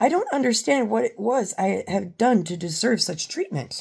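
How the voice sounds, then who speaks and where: A woman puts on a raspy character voice, fairly high in pitch. Her pitch swings very widely as she speaks at a moderate pace. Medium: read story.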